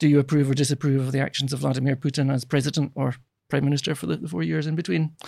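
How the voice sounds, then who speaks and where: A man speaks very fast with a Scottish accent, his pitch fairly high and his intonation fairly even. The recording is very clean, with a silent background. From Scotland. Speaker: political science professor. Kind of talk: interview. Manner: halting, many repetitions.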